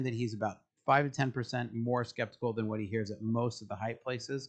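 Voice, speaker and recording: This man talks at a very fast pace, medium in pitch and somewhat breathy. The background is quiet. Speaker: tech commentary youtuber. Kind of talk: commentary reading and reacting to a post. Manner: fast when excited; halting with fillers.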